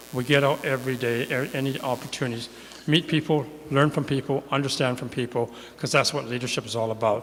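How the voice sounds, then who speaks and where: Over noticeable background noise, a man with a Canadian accent talks very fast at a medium pitch with fairly even intonation. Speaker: city councillor running for re-election. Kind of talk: candidate opening speech. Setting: church hall, stage with live audience. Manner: fast, sometimes mumbling.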